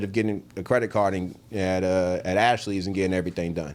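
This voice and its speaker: The pace here is fairly quick. It is a man talking. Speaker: realtor. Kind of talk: casual interview. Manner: fast.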